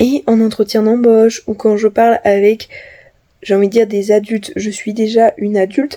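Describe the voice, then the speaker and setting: A woman's fairly high, dark, mellow voice at a moderate pace with fairly even intonation. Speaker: vlogger. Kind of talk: vlog monologue. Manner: many filler sounds.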